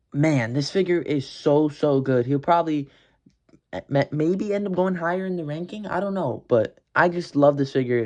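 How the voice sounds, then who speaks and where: A man speaks at a moderate pace with a fairly high pitch and lively intonation. His tone is enthusiastic, and the background is quiet. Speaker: action figure collector and reviewer. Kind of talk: product review ranking video. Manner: casual, enthusiastic; stumbling over words at times.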